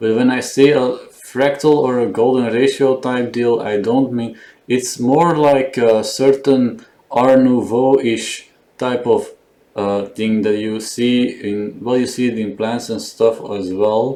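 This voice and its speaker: Intonation here is fairly even. The delivery comes at a fairly slow pace. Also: man, medium pitch for a man. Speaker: digital artist musing on camera. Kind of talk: casual monologue. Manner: mumbling; halting.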